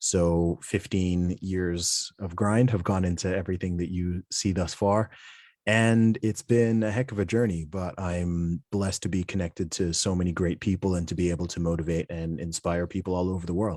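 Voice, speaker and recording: At a moderate pace and with hardly any pauses, a man with an American accent speaks in a very deep, low pitch with fairly even intonation, on a very clean recording with a silent background. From Saudi Arabia, international school. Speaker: rapper and podcast host. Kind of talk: interview.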